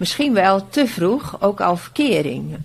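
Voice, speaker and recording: A woman speaks at a medium pitch, very slowly. Her pitch swings very widely. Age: 60s. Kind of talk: casual interview.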